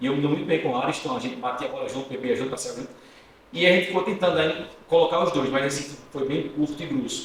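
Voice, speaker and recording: Talking at a very fast pace with lively intonation, a man with a fairly high pitch is heard amid audible room echo and noticeable background noise. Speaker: journalist and radio presenter. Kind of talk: podcast interview.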